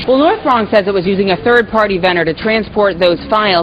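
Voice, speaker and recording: A woman's fairly quick speech, with ordinary pitch variation, comes through noticeable background noise. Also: medium pitch for a woman. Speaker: TV news reporter. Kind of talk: news anchor-style report intro. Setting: outdoors on location.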